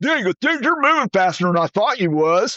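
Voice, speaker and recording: With a Southern US accent and an animated tone, a man speaks at a high pitch and a fairly quick pace, his pitch swinging very widely. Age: 60s. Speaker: ultrarunner. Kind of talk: casual chat.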